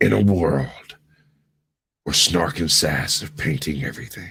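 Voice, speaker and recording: A put-on character voice at a very deep, low pitch and a moderate pace. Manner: dramatic, portentous.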